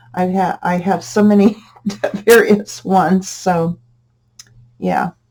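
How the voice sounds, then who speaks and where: A woman speaks at a medium pitch and a fairly slow pace, somewhat breathy. Her intonation is fairly even, with long, frequent pauses. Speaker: crafting youtuber. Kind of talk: tutorial. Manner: casual, talkative.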